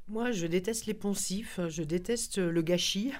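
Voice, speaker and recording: A woman talks at a fairly low pitch with ordinary pitch variation and an ordinary speaking voice. The recording is very clean, with a silent background. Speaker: journalist and former MP. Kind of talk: radio interview. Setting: studio.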